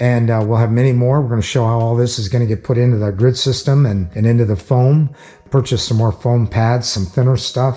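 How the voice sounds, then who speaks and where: This man's voice sits at a medium pitch and sounds somewhat breathy. His intonation stays fairly even. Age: 60s. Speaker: tool and garage video maker. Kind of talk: casual vlog talk to camera. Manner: halting, with fillers.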